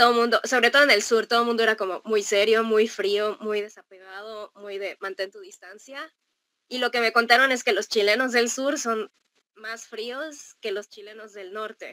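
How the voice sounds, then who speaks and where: Against a quiet background, a woman speaks in a bright, sharp, fairly high voice with fairly even intonation and big swings in loudness. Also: moderate pace. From Mexico. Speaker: traveler living abroad; guest. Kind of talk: casual interview. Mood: cheerful, smiling, laughing. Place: home room.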